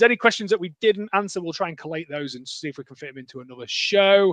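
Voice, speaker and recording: A man talks at a very fast pace and high pitch, with ordinary pitch variation and a dry, close sound with no echo. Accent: British. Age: middle-aged. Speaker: podcast host. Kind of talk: casual chat. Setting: live stream.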